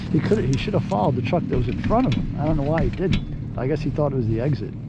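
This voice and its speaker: A man with a fairly high voice talks at a very fast pace with lively intonation. Audible room echo and noticeable background noise surround him. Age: 60s. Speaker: skier. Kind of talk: casual chat.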